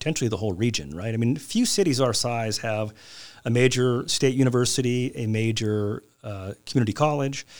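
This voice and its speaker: On a very clean recording with a silent background, a man with a Californian accent speaks at a moderate pace and medium pitch, his intonation lively. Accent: Californian American English. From Southern California, Glendale near Los Angeles. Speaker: city council member and lawyer. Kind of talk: interview.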